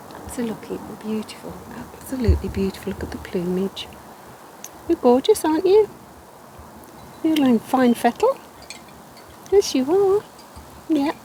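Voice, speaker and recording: Against noticeable background noise, a woman with a high pitch and a relaxed tone speaks at a moderate pace, her pitch swinging very widely, with long, frequent pauses. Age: 60s. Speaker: wildlife gardener vlogger. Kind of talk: casual vlog narration. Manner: relaxed, hesitant with fillers.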